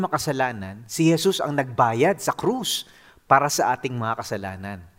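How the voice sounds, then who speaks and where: The recording is very clean, with a silent background behind the man speaking. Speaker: pastor. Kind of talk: sermon.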